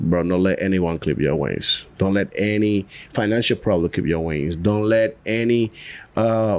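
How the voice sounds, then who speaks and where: Someone talks at a fairly slow pace in a Dominican accent. Pitch variation is ordinary and loudness stays very even. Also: man. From Dominican Republic. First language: Spanish. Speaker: cigar brand founder. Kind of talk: casual podcast interview.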